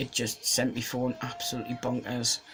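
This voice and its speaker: Over noticeable background noise, a man at medium pitch speaks at a moderate pace in a monotone, flat intonation. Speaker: vlogger. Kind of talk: casual vlog monologue. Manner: hesitant, many ums.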